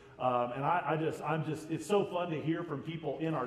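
Faint background noise sits behind a man with an American accent. His pitch is fairly high and varies in an ordinary way.

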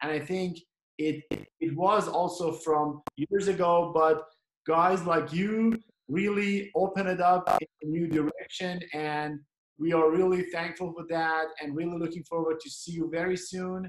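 A man's high-pitched, monotone voice with flat intonation, at a fairly slow pace, with audible room echo over a quiet background. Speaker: dental webinar host; host asking the guest questions. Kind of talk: interview. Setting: video call. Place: home room. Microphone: video call.

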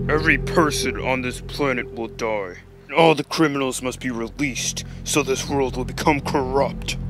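With clear music in the background, a man does a put-on character voice at a medium pitch and a moderate pace. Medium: machinima. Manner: arrogant, menacing, contemptuous.

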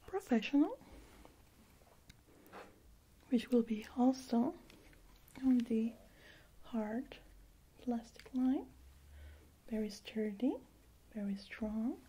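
Soft-spoken and high in pitch, a woman has a dark, mellow tone with ordinary pitch variation. She talks at a very slow pace with long, frequent pauses. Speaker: optician role-play host. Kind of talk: soft role-play talk to viewer. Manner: soft, hushed ASMR speech. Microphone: studio mic.

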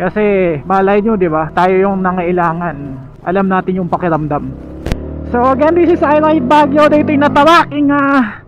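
Pitched high, a man talks at a moderate pace with very wide pitch swings, the sound dry with no echo and noticeable background noise behind him. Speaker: motovlogger. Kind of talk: casual vlog chat. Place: motorbike. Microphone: helmet.

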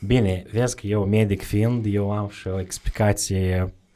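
A dark, mellow tone at a fairly slow pace, with fairly even intonation and a quiet background. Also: man. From Moldova, Bălți; Moldova. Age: 30s. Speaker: charity representative; podcast guest. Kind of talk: casual interview. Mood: calm, reflective. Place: studio. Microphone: studio mic.

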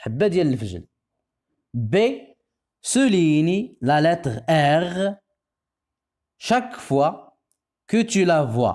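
Very wide pitch swings mark this very slow delivery with a Moroccan accent, on a very clean recording with a silent background. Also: man. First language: Moroccan Arabic (speaking French). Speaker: primary school French teacher. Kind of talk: tutorial. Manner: slow, repetitive enunciation.

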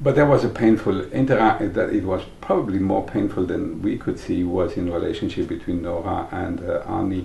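A man speaks at a fairly quick pace with hardly any pauses. The room echo is audible. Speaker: early Process Work community member. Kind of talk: oral-history interview. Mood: thoughtful, recalling painful past.

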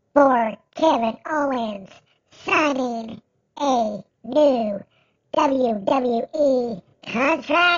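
In a put-on character voice, a man speaks at an extremely high pitch and a very slow pace, with long, frequent pauses. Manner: mocking, taunting.

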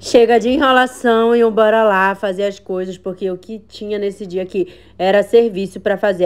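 A woman talks over noticeable background noise. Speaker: vlogger, mother. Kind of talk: vlog voice-over narration. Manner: casual, chatty.

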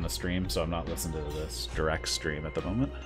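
A man with very wide pitch swings over music in the background. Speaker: live streamer. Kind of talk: casual live stream chat. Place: home room. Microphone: studio mic.

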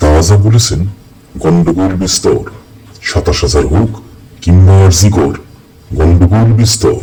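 Using a put-on character voice, a man speaks at a moderate pace in a very deep, low pitch with very even loudness. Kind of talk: rhyming verse parody. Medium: voice reel. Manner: sing-song rhyming, wheedling.

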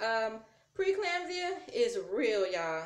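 A woman with an American accent and very wide pitch swings, in audible room echo. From US South. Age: 30s. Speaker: YouTuber. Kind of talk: vlog. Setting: recording at home on tablet. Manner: casual, chatty. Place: home room. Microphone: phone near.

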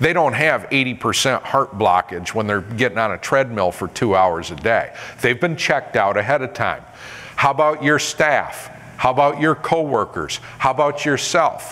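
A man with an American accent talks at a moderate pace and a medium pitch. He has a plain, everyday voice with lively intonation. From upstate New York. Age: 50s. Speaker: motivational speaker and safety trainer; presenter. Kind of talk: seminar presentation. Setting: stage with audience. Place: hall.

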